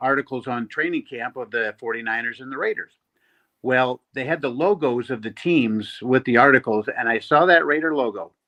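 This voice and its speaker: Speaking at a moderate pace with an American accent, a man has a bright, sharp tone in a dry, close sound with no echo. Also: quiet background. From South Dakota, then Lodi, California from age nine. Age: 60s. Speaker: sports fan, airline worker. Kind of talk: casual chat.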